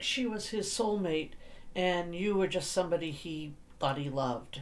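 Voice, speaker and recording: A woman with an unremarkable speaking voice, fairly low pitch and lively intonation, at a moderate pace. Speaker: paranormal session host asking questions. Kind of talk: question-and-answer session commentary.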